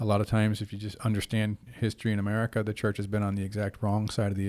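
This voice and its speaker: In a very clean recording with total background silence, a man talks at a fairly low pitch with monotone, flat intonation. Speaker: pastor and podcast host. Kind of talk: casual chat.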